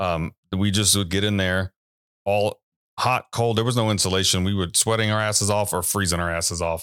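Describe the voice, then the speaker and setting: With an American accent and an unremarkable speaking voice, a man talks at a fairly quick pace and fairly low pitch, with fairly even intonation and very even loudness. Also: dry, close sound with no echo. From Texas, Taylor. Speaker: metal band guitarist. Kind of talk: casual chat.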